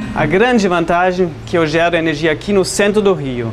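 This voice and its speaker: A man with a German accent and a high pitch speaks at a moderate pace, with noticeable background noise and audible room echo. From Germany. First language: German (speaking Portuguese). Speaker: homeowner with solar panels. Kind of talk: interview.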